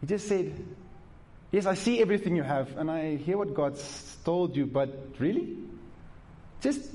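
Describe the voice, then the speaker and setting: With a high pitch and lively intonation, a man speaks at a moderate pace with long, frequent pauses, and audible room echo surrounds him. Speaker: pastor. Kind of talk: sermon. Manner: animated, emphatic preaching with repetition; conversational, direct address to the congregation.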